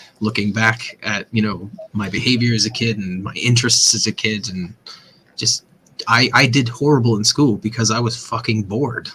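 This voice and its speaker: A man with an American accent at a moderate pace, fairly even intonation, and noticeable background noise. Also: medium pitch for a man. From US, Pennsylvania (Chambersburg). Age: 30s. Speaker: vape mod maker. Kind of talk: casual chat. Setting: live stream show. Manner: halting, repeats words.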